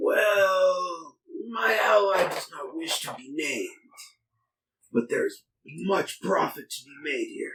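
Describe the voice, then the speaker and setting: In a put-on character voice, a man speaks fairly slowly at a high pitch, raspy, with big swings in loudness and long, frequent pauses. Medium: actual play. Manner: earnest, measured persuasion.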